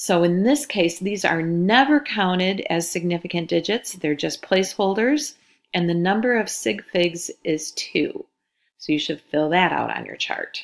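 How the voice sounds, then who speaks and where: A woman speaks with lively intonation in a plain, everyday voice. The recording is very clean, with a silent background. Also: medium pitch for a woman, fairly slow pace. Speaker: high school chemistry teacher. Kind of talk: recorded lesson.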